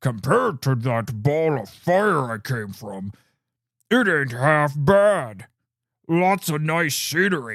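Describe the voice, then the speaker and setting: This man uses a put-on character voice, fairly high in pitch. The recording is very clean, with a silent background. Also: fairly slow pace. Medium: solo performance. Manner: crude, casual.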